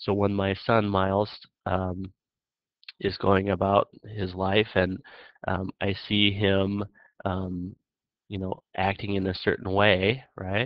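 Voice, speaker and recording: A man's fairly low, monotone, flat voice at a very slow pace with long, frequent pauses. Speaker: psychology teacher. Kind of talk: lecture.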